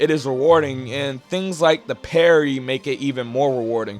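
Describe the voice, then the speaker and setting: With music in the background, a man talks at a moderate pace in a fairly high voice. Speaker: gaming YouTuber. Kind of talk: casual talk to camera. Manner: casual, uses filler 'you know'.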